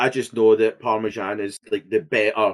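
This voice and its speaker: A man speaks with a Scottish accent. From Scotland. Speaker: podcast co-host. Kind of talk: casual chat. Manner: reactive, animated, outbursty.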